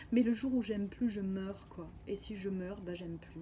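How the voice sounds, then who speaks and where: Noticeable background noise runs under this recording. A woman talks at a moderate pace and a medium pitch. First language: Spanish (speaking French). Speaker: spiritual healer. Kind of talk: personal video diary testimony. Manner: halting.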